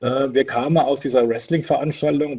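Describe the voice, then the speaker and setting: In a quiet background, a man with a dark, mellow, somewhat breathy tone speaks at medium pitch and a moderate pace with fairly even intonation. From southwestern Germany, Palatinate (Pirmasens). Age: 50s. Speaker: wrestling promoter. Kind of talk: casual interview. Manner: hesitant, many filler sounds.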